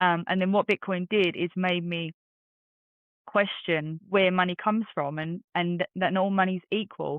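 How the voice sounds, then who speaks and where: The intonation of this woman stays fairly even. Her pitch is medium. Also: moderate pace. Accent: English. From London, England. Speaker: bitcoin community organizer. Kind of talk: interview.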